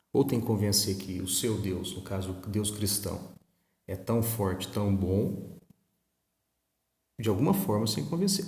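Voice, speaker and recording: A soft-spoken, somewhat breathy voice with a dark, mellow tone, lively intonation and a fairly slow pace, in audible room echo. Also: man. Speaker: history teacher. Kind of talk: recorded online lesson. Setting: recording at home. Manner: conversational.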